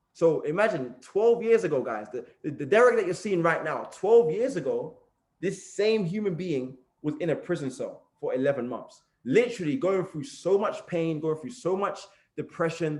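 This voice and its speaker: A man's high-pitched voice with a London accent and very wide pitch swings. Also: moderate pace. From East London, England. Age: 20s. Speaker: motivational speaker. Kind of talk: motivational talk, personal story. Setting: group call.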